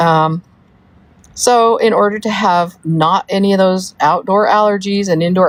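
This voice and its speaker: In a dry, close recording with no echo, a woman with a plain, everyday voice talks at a moderate pace and medium pitch, with ordinary pitch variation. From US South (Georgia, Florida), born in Wyoming. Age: 60s. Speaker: livestreamer, mother of a soap maker. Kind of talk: casual livestream chat reading comments. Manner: rambling, with many fillers.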